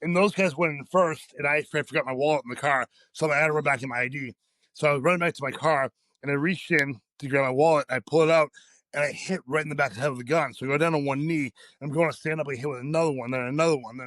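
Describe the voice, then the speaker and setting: A man talks very fast at a fairly high pitch, with fairly even intonation and big swings in loudness. The recording is very clean with a silent background, and the sound is dry and close with no echo. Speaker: powerlifter. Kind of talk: casual chat.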